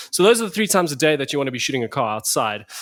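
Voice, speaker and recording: In a South African accent, the speaker sounds animated on a very clean recording with a silent background. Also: man. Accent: South African (Afrikaans) English. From South Africa, Pretoria. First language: Afrikaans. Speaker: photographer. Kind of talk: casual chat. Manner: animated, many repetitions and fillers.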